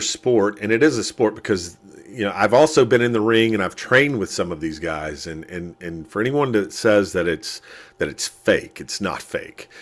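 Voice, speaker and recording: With an ordinary speaking voice, a man talks at a medium pitch and a moderate pace with lively intonation. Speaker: wrestling commentator. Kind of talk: interview answer.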